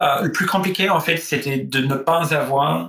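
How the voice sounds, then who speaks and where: A man speaks at a very slow pace. His voice sits fairly high, with ordinary pitch variation. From Australia. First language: English (speaking French). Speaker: tech executive. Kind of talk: interview. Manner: halting.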